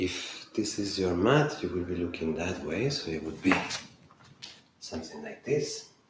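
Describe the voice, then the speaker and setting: A fairly slow pace and lively intonation, with audible room echo and noticeable background noise. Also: man, very deep, low pitch for a man. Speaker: yoga teacher. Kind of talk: guided yoga class.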